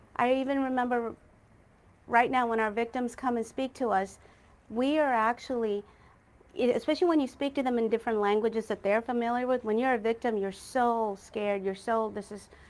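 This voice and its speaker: A woman talks at a fairly quick pace with a fairly high pitch and fairly even intonation. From Texas, US (immigrated from India as a child). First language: Malayalam. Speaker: judicial candidate, prosecutor. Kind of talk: candidate forum answers. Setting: political forum, livestreamed.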